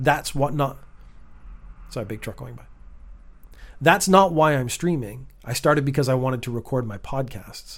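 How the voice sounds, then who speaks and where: A man talks at a moderate pace and a medium pitch, somewhat breathy, with ordinary pitch variation. His speech has long, frequent pauses and big swings in loudness. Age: 50s. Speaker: content creator and streamer. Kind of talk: monologue.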